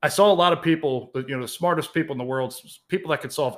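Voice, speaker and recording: In a very clean recording with a silent background, a man speaks in a bright, sharp tone with ordinary pitch variation. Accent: American. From Baltimore, Maryland, US. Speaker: financial planner and podcast host. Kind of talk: podcast intro monologue.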